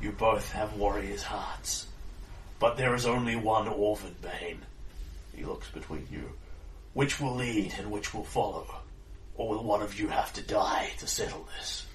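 Against clear background noise, a man uses a booming, put-on character voice with long, frequent pauses. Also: moderate pace. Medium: actual play. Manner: formal, grave.

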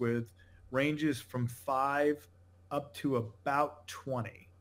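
Here a man speaks with an American accent at a medium pitch. His intonation stays fairly even. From New England, Connecticut. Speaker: company founder and CEO. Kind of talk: interview.

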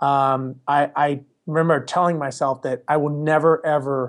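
On a very clean recording with a silent background, a man with an American accent speaks in a plain, everyday voice, fairly high in pitch with fairly even intonation. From US West Coast, Los Angeles. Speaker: airline pilot and property management business owner. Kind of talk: interview.

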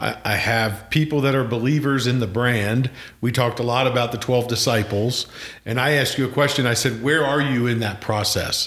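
A man with an American accent speaks at a moderate pace with very even loudness and fairly even intonation. Noticeable background noise runs behind him. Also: medium pitch for a man. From Pennsylvania. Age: 50s. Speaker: podcast host. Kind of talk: casual chat.

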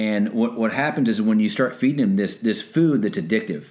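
A man's normal speaking voice, fairly quick in pace, with lively intonation. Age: 50s. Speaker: military veteran and personal trainer. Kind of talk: casual chat.

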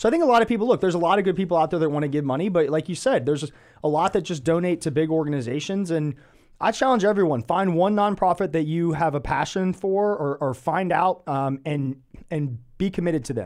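An American accent at a very fast pace, lively intonation, and a very clean recording over a silent background. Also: man, high pitch for a man. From Atlanta, US South. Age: 30s. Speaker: podcast host. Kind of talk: casual interview.

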